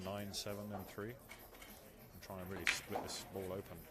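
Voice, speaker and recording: Soft-spoken and fairly low-pitched, a man talks at a fairly slow pace with fairly even intonation and audible room echo. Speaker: pool match commentator. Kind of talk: live commentary. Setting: pool hall, close to the table.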